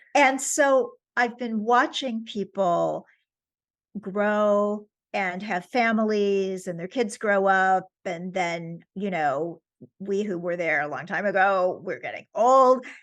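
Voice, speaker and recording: A woman with a New York accent speaks very slowly against a quiet background. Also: medium pitch for a woman. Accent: New York American. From US, New York. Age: 70s. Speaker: author. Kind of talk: interview. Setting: podcast.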